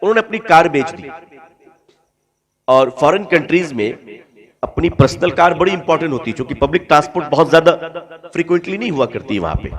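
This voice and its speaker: A man with a high voice speaks with lively intonation, big swings in loudness, and long, frequent pauses. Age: under 70. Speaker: Islamic preacher. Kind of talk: sermon.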